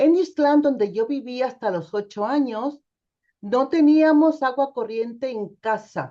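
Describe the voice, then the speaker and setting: Very slowly, a woman speaks in a high pitch with a dark, mellow tone. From Mexico, Nayarit. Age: 60s. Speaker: theologian. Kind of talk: testimony.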